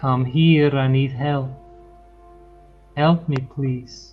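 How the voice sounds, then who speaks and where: With faint music in the background, a man in a put-on character voice speaks very slowly at medium pitch with monotone, flat intonation. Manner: creepy, pleading.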